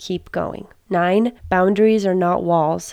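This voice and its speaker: On a very clean recording with a silent background, a woman speaks very slowly in a flat monotone at a medium pitch. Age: 20s. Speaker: podcaster / blogger. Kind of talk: scripted narration.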